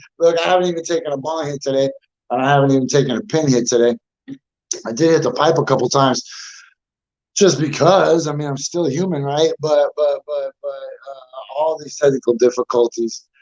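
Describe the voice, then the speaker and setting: Here a man talks at a fairly quick pace with a fairly high pitch and ordinary pitch variation. He has an ordinary speaking voice. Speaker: livestream podcast host. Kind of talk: casual chat. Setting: live video stream.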